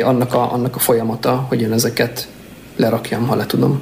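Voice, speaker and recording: Over noticeable background noise, a man talks at a fairly quick pace with a medium pitch. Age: 30s. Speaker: agile coach. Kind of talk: casual chat. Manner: halting.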